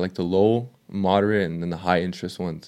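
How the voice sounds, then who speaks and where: A man with a normal speaking voice talks at a fairly low pitch with ordinary pitch variation, recorded very cleanly against a silent background. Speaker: fitness coach and YouTuber. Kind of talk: casual chat.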